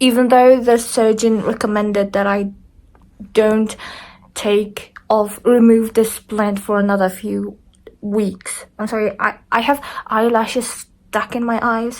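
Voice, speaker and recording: This woman talks at a fairly slow pace in a fairly high pitch. Her intonation is monotone and flat. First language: not English. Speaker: vlogger sharing surgery recovery. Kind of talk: casual vlog, personal experience. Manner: halting, many restarts.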